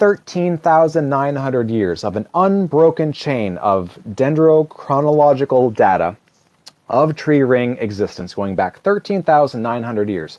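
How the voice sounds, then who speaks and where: A man with a fairly high voice swings through a very wide range of pitch. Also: fairly slow pace. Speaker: atheist livestreamer. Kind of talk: live stream talk. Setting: livestream.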